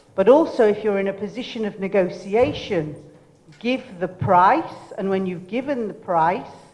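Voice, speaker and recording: A woman speaks at a medium pitch with lively intonation. Audible room echo and noticeable background noise surround her voice. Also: moderate pace. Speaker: entrepreneur and keynote speaker. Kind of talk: motivational talk. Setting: stage with audience. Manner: animated.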